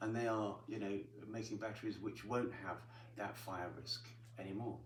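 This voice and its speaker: Speaking in a flat monotone at a moderate pace, a man with a fairly low pitch is heard over noticeable background noise. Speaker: electric car expert and former TV motoring presenter. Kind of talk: interview answer. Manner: fluent, explanatory.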